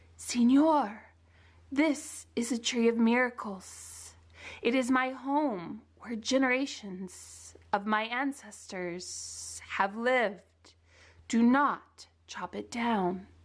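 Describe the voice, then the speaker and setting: A woman puts on a character voice with hissing, speaking at a fairly high pitch and a very slow pace. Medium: read story.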